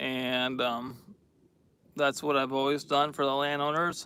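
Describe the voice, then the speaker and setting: A man with an American accent speaks in a bright, sharp tone at a fairly high pitch. His intonation stays flat and monotone at a fairly slow pace. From New York State. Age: 30s. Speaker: logger. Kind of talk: live stream chat. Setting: outdoors in the woods. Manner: hesitant, many fillers.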